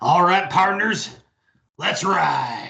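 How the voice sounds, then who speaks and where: A raspy, put-on character voice sits at a middle pitch. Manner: swaggering.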